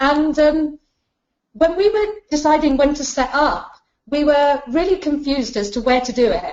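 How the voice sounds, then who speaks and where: At a moderate pace, a woman speaks with a British accent. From UK. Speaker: business founder, chartered accountant. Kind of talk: webinar presentation. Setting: online webinar.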